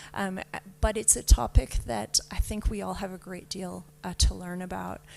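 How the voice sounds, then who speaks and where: A woman with a Canadian accent at a fairly slow pace. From Canada. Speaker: panelist. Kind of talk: panel discussion.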